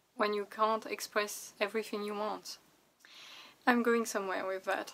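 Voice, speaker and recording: A woman speaks with a non-native accent. Her pitch sits in the middle range. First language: not English. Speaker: vlogger and artist. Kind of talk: casual vlog monologue.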